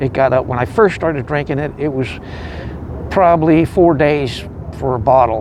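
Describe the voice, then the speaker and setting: Amid noticeable background noise, a man with a fairly high voice speaks with long, frequent pauses. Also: ordinary pitch variation, moderate pace. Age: 60s. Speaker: homeless veteran. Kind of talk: testimony. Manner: halting.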